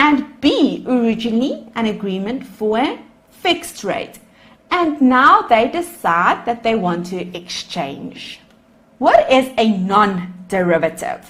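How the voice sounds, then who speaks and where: In a South African accent, a woman with a fairly high pitch speaks at a very slow pace with very wide pitch swings, and audible room echo can be heard. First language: Afrikaans. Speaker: accounting lecturer. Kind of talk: lecture.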